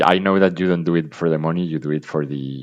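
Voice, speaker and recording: A man with a non-native accent has a very deep, low pitch. His intonation is fairly even. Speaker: dividend investor. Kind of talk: casual chat. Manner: halting.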